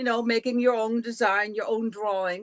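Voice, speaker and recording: With a Dutch accent, a woman speaks at a fairly high pitch. The sound is dry and close, with no echo. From Netherlands. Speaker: quilting teacher. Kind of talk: interview. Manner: halting.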